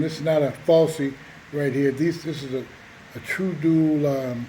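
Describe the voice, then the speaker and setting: A man with a fairly high pitch speaks in a fairly even intonation over noticeable background noise. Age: 60s. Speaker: motorcycle seller. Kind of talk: casual walkaround sales video. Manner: halting, many fillers.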